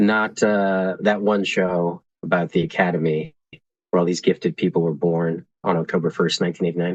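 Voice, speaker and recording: In a dry, close sound with no echo, a man with a very deep, low pitch speaks at a moderate pace with fairly even intonation. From California, Santa Cruz area. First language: Spanish. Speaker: podcast guest. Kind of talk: casual interview conversation.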